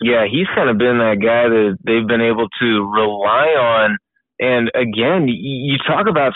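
A man speaks in a plain, everyday voice. His pitch is medium and his loudness very even. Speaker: college basketball podcast co-host.

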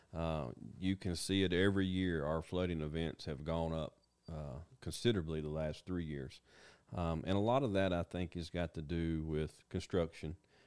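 Very deep and low in pitch, a man speaks with a Tennessee accent and fairly even intonation. The recording is very clean, with a silent background. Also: moderate pace. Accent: Southern US (Tennessee). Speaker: county emergency management director. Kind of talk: interview.

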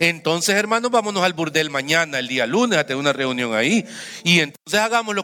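A man's raised, projected voice. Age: 50s. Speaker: pastor. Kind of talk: sermon.

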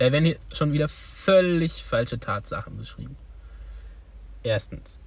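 A man speaks at a fairly slow pace, with big swings in loudness and long, frequent pauses. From Thuringia, Germany (village near Weimar). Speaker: podcast co-host. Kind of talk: casual chat.

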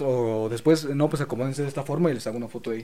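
Music plays in the background as a man speaks with fairly even intonation. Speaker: photographer and video maker. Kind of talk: casual chat.

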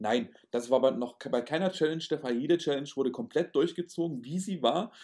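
A man speaks in an unremarkable speaking voice, fairly high in pitch. His pace is fairly quick and his intonation lively. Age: 30s. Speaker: podcast host, magician and youth camp founder. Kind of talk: casual chat. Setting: recorded at home.

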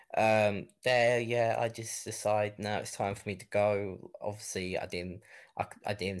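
A man with a southeast English accent, fairly low in pitch, at a moderate pace with fairly even intonation. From Kent, southeast England. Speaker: gaming content creator. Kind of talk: casual interview. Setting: live stream, remote call.

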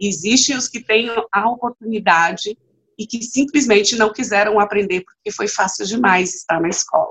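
In an unremarkable speaking voice, a woman talks at a fairly high pitch with ordinary pitch variation. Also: moderate pace. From Bahia, Brazil (Vitória da Conquista). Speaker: trade unionist and activist. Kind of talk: interview conversation.

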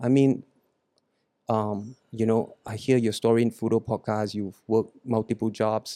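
The voice has a dark, mellow tone and a monotone, flat intonation. It moves at a fairly slow pace in a dry, close sound with no echo. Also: man, medium pitch for a man. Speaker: podcast host. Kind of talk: casual chat. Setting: studio.

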